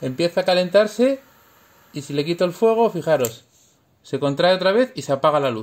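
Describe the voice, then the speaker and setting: With a high pitch and very wide pitch swings, a man talks at a fairly quick pace broken by long, frequent pauses. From Spain. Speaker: engineer parent explaining science to his children. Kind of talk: home science demonstration for kids. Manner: animated. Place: home room. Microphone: phone near.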